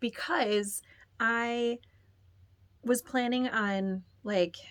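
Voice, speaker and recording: At a very slow pace, a woman speaks at a high pitch with ordinary pitch variation. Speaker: podcast host, knitting and crochet crafter. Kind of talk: casual chat. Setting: home, bedroom. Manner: casual, chatty with fillers.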